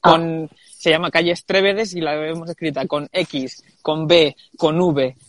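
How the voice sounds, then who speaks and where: Recorded with a dry, close sound and no echo, a man talks at a fairly slow pace with a fairly high pitch and fairly even intonation. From Murcia, Spain. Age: young. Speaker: architect and landscape designer. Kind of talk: interview. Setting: live online stream. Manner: halting, many repetitions.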